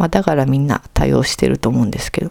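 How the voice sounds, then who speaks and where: A woman talks in a Kansai accent over noticeable background noise. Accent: Kansai Japanese. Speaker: podcast host. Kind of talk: casual monologue.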